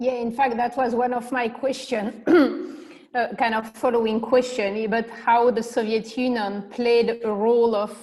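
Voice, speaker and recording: A woman speaks in a French accent at a fairly high pitch. Her intonation is fairly even and her pace moderate. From France. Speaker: panel moderator. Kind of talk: panel discussion.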